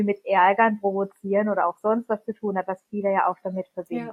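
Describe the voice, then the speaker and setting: A woman talks at medium pitch in a monotone, flat delivery. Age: 30s. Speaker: parent. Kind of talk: interview.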